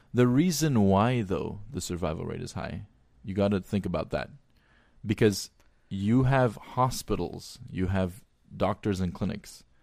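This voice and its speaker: A man with a plain, everyday voice speaks at a fairly slow pace in a fairly low pitch with ordinary pitch variation, in a very clean recording with a silent background. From Armenian diaspora, Glendale, California. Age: 20s. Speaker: physician. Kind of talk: casual chat.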